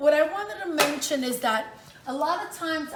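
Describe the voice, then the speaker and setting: There is audible room echo along with noticeable background noise. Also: woman. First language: Italian. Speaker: home cook, cooking channel host. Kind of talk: cooking tutorial. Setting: home kitchen. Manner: casual, chatty.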